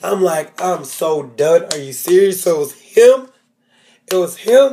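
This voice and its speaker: His tone animated and his pitch high, a man speaks at a fairly slow pace with lively intonation and big swings in loudness. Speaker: TV recap vlogger. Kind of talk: casual TV episode recap.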